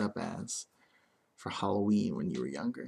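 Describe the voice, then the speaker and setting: Soft-spoken and gentle in tone, the speaker goes at a fairly slow pace. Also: man. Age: 20s. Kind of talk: ASMR get-to-know-me tag video, soft casual talk to camera. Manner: soft-spoken, gentle.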